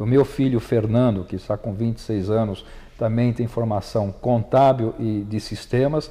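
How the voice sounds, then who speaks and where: A man at medium pitch with a dark, mellow tone, fairly even intonation and a moderate pace. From Brazil, São Paulo city. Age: 50s. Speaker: accountant and business association president. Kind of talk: interview. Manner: hesitant fillers and repetitions.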